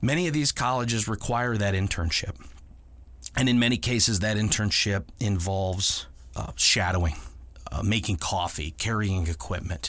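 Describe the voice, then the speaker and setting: With an American accent, a man speaks at a moderate pace in a fairly low pitch, showing vocal fry and lively intonation. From Ohio, Akron area. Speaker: podcast host, video producer. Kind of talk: storytelling monologue.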